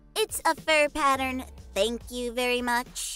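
Over faint background music, a female-sounding voice uses a put-on character voice at a high pitch. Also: fairly slow pace. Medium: role play. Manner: upbeat, excitable.

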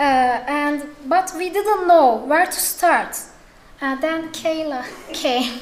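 A woman speaks at a very slow pace. Her pitch varies in an ordinary way. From Turkey. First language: Turkish. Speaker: editor; conference speaker. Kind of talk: conference talk. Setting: stage with audience. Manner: halting. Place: hall. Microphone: podium.

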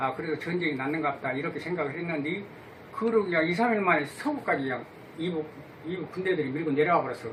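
Talking at a very fast pace, a man with a fairly high pitch and ordinary pitch variation is heard over noticeable background noise. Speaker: grandfather recalling wartime history. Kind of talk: interview answer.

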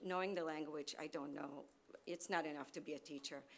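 A woman speaks in an Israeli accent with ordinary pitch variation. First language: Hebrew. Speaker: parent giving public comment. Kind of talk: public comment. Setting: school board meeting. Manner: halting.

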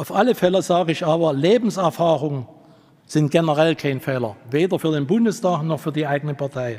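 A man with a fairly high pitch speaks at a fairly quick pace with ordinary pitch variation over a quiet background. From eastern Germany, Leipzig; eastern Germany. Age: 60s. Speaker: party candidate, taxi driver; candidate. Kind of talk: candidate speech. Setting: hall with audience. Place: hall. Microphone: podium.

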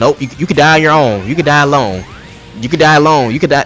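Faint music plays behind a man with a fairly high pitch. His tone is fairly bright and his intonation lively.

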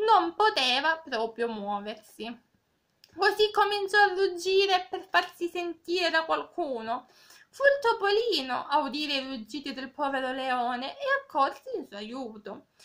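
Against a quiet background, a woman with a high pitch talks at a fairly slow pace, her pitch swinging very widely and her loudness rising and falling in big swings. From Cosenza, Calabria, southern Italy. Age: 20s. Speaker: volunteer reader. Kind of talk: reading aloud a fable, with direct address. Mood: gentle, calm. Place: home room. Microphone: phone near.

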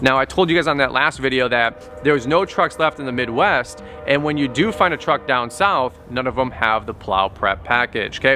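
Over faint background music, a man speaks at a moderate pace. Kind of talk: casual vlog chat. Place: street.

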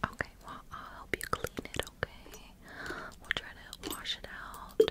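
A soft-spoken woman is whispering. She talks at a fairly slow pace. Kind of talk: soft roleplay talk to viewer. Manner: soft close ASMR whisper. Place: home room. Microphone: phone near.

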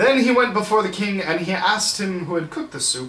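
A man with a high pitch and a fairly bright tone speaks at a moderate pace with lively intonation, and room echo is audible.

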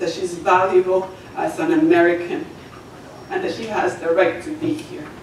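A woman is heard with light background noise and audible room echo. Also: moderate pace. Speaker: township resident giving public comment. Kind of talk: public comment testimony. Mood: emotional, earnest. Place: meeting room. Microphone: camera far.

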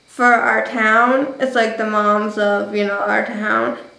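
With monotone, flat intonation, a woman talks in a space with audible room echo. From New Jersey. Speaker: vlogger. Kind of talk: casual vlog monologue. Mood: reflective, emotional storytelling. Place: home room. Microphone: webcam.

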